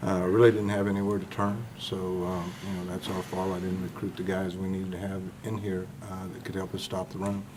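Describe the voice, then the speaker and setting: The speaker talks at a fairly quick pace in a monotone, flat intonation. The recording has audible room echo and noticeable background noise. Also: man, very deep, low pitch for a man. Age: 60s. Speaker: college football defensive coach. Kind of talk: press conference. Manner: hesitant, many filler words.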